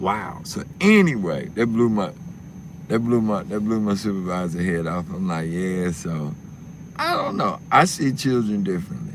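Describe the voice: With big pitch swings, a man speaks at a low pitch. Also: moderate pace.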